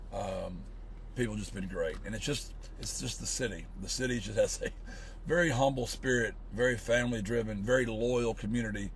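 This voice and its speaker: With an American accent, a man talks at a fairly quick pace while the room echo is audible. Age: 50s. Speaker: college football coach. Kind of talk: casual interview.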